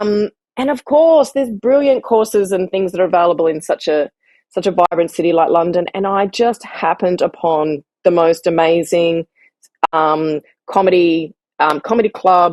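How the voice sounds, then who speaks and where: Dry, close sound with no echo, a moderate pace and an Australian accent. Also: woman, fairly low pitch for a woman, ordinary pitch variation. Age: 40s. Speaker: writer and comedian. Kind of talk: interview answer.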